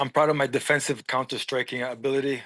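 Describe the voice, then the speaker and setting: Against a quiet background, a man talks very fast in a fairly high, monotone voice with flat intonation. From Lebanese family. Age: 40s. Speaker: MMA fighter. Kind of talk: casual chat. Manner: halting.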